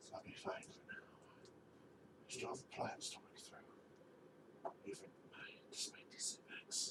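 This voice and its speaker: In a put-on character voice, the speaker whispers and mumbles at a fairly slow pace. Long, frequent pauses break it up over loud background noise. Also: man. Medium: actual play. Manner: low, mumbling, brooding.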